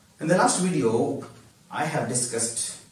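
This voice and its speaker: A man speaks at a medium pitch and a fairly slow pace, with ordinary pitch variation. Noticeable background noise and audible room echo are present. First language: not English. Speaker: YouTuber teaching English. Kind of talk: tutorial.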